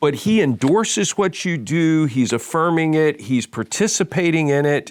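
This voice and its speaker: Here is a man with an ordinary speaking voice and a fairly high pitch. He talks at a moderate pace with lively intonation. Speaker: podcast host, men's ministry leader. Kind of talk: podcast conversation.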